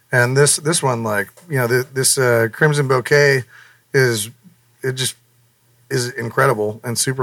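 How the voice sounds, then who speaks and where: A man with a normal speaking voice, medium pitch and fairly even intonation. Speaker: band member and podcast host. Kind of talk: casual chat.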